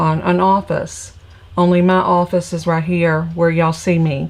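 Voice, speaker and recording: A woman with an American accent speaks in a fairly low pitch with monotone, flat intonation. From Virginia, US South (Petersburg area south of Richmond). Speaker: crafting instructor and stamp seller. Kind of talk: live craft tutorial with casual chat. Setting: home craft room, livestream. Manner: casual, chatty.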